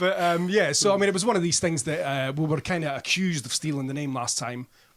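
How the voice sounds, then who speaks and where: A man with a Scottish accent talks very fast at a fairly high pitch. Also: ordinary pitch variation. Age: 60s. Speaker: band frontman and music writer. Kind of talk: radio interview. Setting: radio studio. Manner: casual, chatty.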